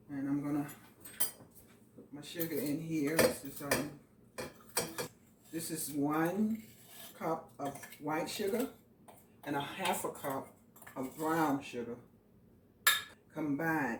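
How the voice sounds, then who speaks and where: A woman with an American accent speaks very slowly in a very deep, low pitch, with long, frequent pauses and big swings in loudness, over noticeable background noise. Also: ordinary pitch variation. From US South. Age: 50s. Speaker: home cook. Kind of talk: cooking tutorial. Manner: casual.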